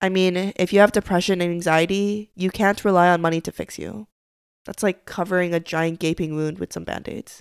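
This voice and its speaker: At a fairly quick pace, a woman speaks at a medium pitch with fairly even intonation in a dry, close recording with no echo. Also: very clean recording, silent background. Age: 20s. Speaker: podcast host. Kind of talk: scripted monologue.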